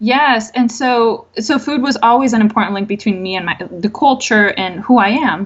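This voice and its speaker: At a moderate pace with hardly any pauses, a woman talks in a fairly high voice with ordinary pitch variation. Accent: Spanish. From Colombia. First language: Spanish. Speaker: mental health therapist. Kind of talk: podcast interview.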